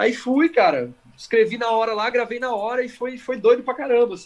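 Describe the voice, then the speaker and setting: This is a man's voice. Its pitch is extremely high for a man, with ordinary variation. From Campinas, São Paulo state, Brazil. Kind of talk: casual chat.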